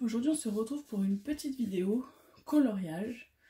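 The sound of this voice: A woman with a fairly high pitch and a dark, mellow tone with a husky, rough edge speaks at a moderate pace with lively intonation.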